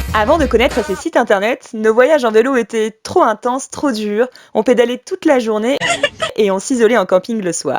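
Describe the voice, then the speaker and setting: Her voice is an ordinary speaking voice, fairly high for a woman, with ordinary pitch variation and a moderate pace, and the sound is dry and close with no echo. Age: 20s. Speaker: cycle traveller. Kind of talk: scripted narration.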